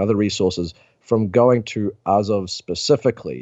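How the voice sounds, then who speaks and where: A man with a New Zealand accent speaks at a fairly low pitch with ordinary pitch variation. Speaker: journalist. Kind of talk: interview.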